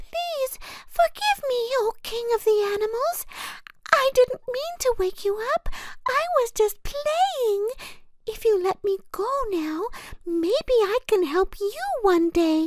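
Squeaky and extremely high in pitch, a put-on character voice moves at a fairly slow pace. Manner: pleading, polite.

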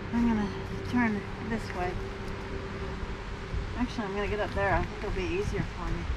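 Loud noise fills the background. Over it, a woman talks at a moderate pace. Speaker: camper doing exercises. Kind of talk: exercise demonstration to camera. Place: forest. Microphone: camera far.

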